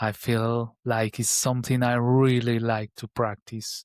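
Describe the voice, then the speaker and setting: Over a very clean recording with a silent background and a dry, close sound with no echo, a man of medium pitch speaks very slowly in a flat monotone. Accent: Colombian. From Colombia (Bogota). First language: Spanish. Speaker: meditation vlogger. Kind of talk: personal reflection vlog. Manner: halting, with fillers and repeats.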